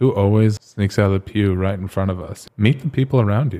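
In a very clean recording with a silent background, a man with a fairly low voice and an American accent speaks at a moderate pace, his pitch varying in an ordinary way. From US Southwest, Phoenix, Arizona. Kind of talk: casual chat.

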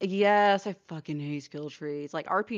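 At a fairly slow pace, a woman talks in a plain, everyday voice with a fairly low pitch and ordinary pitch variation against a quiet background. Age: 30s. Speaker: streamer. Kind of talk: casual chat.

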